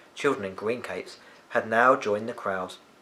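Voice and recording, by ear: Speaking at a fairly slow pace, a man with a fairly low pitch and a bright, sharp tone shows ordinary pitch variation.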